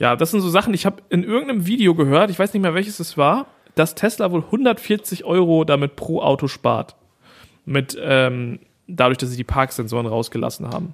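A man's high-pitched voice at a moderate pace, with very wide swings in pitch. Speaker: podcast co-host. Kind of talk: casual chat. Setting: parents' living room, mobile setup.

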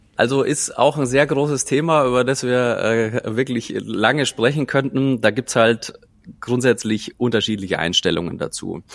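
A man speaks at a moderate pace and a medium pitch. His pitch varies in an ordinary way. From Bavaria, Munich Oberland. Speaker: chef and cookbook author. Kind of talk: casual interview. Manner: hesitant with many fillers.

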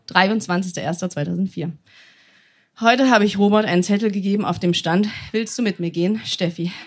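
Speaking at a moderate pace with long, frequent pauses, a woman keeps to a medium pitch. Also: ordinary pitch variation. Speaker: stage reader. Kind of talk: reading aloud. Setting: stage with audience.

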